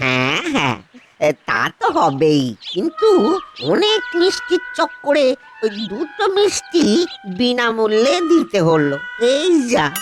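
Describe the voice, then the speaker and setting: A man's cartoonish character voice, extremely high in pitch, very even in loudness and fairly slow, over music in the background. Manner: stammering, hesitant.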